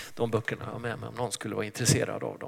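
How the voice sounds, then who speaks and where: A man with a medium-pitched voice is heard against noticeable background noise. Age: 60s. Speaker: pastor. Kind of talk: sermon.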